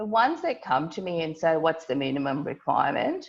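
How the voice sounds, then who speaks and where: A woman with a non-native accent talks at a fairly quick pace, her intonation lively. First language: not English. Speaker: lawyer. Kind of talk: online workshop. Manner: blunt, direct; halting, many restarts.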